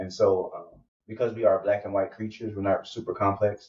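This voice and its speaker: A somewhat breathy voice with monotone, flat intonation. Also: man. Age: 30s. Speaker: podcast host, guest on another show. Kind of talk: casual conversation, interview. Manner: halting, many fillers.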